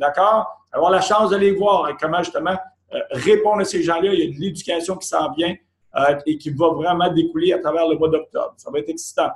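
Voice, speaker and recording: The pace is fairly quick, with ordinary pitch variation. Room echo is audible against a quiet background. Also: man, high pitch for a man. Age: 50s. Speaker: company executive; presenter. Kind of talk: sales pitch. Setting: office. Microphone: video call.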